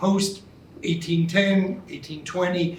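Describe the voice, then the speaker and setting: Audible room echo surrounds a man whose high pitch stays monotone and flat as he talks at a moderate pace. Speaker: museum committee co-chair. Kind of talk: prepared remarks at reception. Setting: indoor event with audience. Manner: loud.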